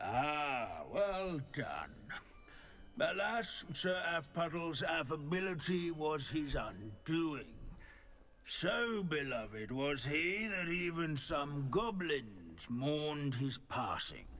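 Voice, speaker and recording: Against clear background noise, a man uses a put-on character voice at a very slow pace. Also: fairly high pitch for a man. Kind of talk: scholarly lecture. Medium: video game. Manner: droning, pedantic.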